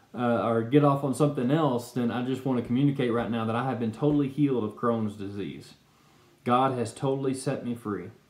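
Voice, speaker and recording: With audible room echo, a man talks at a fairly quick pace using fairly even intonation. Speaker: speaker. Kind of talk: personal testimony talk. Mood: earnest, calm. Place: home room. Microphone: webcam.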